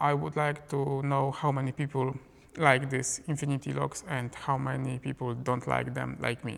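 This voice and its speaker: A man with a non-native accent at a medium pitch, moderate pace and monotone, flat intonation. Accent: non-native English pronunciation. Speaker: film photography YouTuber, lens reviewer. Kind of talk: product review to camera. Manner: casual, conversational.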